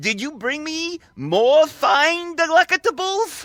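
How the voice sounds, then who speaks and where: A put-on character voice at a fairly slow pace. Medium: video game. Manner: pompous, grandiose.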